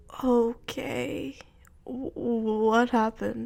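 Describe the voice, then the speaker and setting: Here a woman uses a put-on character voice with a fairly high pitch. Her pitch varies in an ordinary way. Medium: read story. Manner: terse, low-key, dry.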